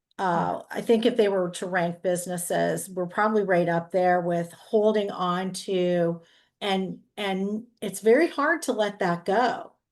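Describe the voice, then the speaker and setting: A woman with an unremarkable speaking voice and a medium pitch talks at a fairly slow pace with fairly even intonation. She leaves hardly any pauses, and the background is quiet. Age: 60s. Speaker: real estate agent. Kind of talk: group discussion.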